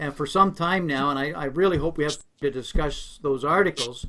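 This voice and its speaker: A man speaks with an American accent. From outside US. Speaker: finance interviewer. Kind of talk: interview. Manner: repeats words, hesitant.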